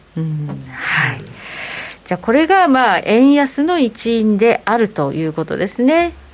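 Noticeable background noise sits behind a woman talking at a very slow pace. Her fairly high voice makes very wide pitch swings. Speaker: radio show presenter. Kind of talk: radio talk show. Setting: studio.

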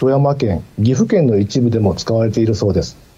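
A man is talking. His tone is dark and mellow, with a somewhat breathy quality. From Mie, Japan. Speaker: newspaper bureau chief, journalist. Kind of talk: radio interview. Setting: remote call via Teams.

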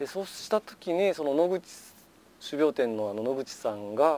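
A man's dark, mellow voice with very wide pitch swings, recorded dry and close with no echo. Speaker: farmer. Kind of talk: casual interview. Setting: outdoors on a wooden deck.

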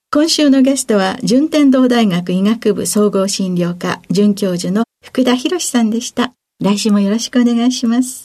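With a dark, mellow tone, a woman speaks at a moderate pace in a fairly high voice with ordinary pitch variation. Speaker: radio host and pharmacist. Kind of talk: radio interview. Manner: polite.

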